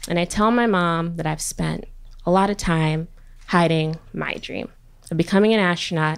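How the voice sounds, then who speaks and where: A woman with a plain, everyday voice talks on the lower side of her range, her pitch moving in an ordinary way. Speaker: biochemistry PhD student. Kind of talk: live storytelling. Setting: stage with audience.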